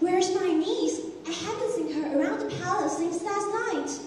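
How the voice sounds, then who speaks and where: A woman uses a put-on character voice at an extremely high pitch, with strong echo around her. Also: moderate pace. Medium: stage play. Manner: imperious, commanding.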